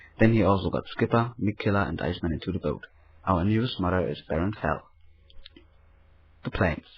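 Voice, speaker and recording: With a German accent, a man speaks at a fairly quick pace in a very deep, low pitch. His voice is somewhat breathy, with ordinary pitch variation and long, frequent pauses. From Germany. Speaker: project member giving report. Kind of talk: scripted report.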